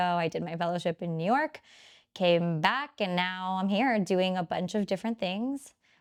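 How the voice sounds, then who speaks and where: A woman with a plain, everyday voice, medium pitch and ordinary pitch variation, dry and close with no echo on a very clean recording with a silent background. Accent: American. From Miami, Florida. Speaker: clinical psychologist and podcast host. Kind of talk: casual conversational podcast.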